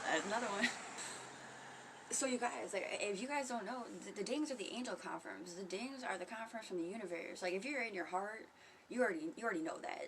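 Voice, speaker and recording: A woman with a fairly high voice talks at a very fast pace with ordinary pitch variation, amid audible room echo and noticeable background noise. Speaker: spiritual vlogger. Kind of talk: casual livestream monologue. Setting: home. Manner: soft-spoken; casual, profane.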